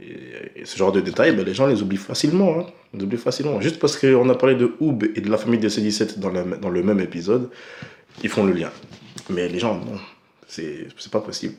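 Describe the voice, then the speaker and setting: At a fairly quick pace, a man with a fairly low pitch talks with lively intonation and big swings in loudness, leaving long, frequent pauses. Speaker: anime reviewer. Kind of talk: casual vlog commentary. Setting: at home at night. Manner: soft-spoken; hesitant, many fillers.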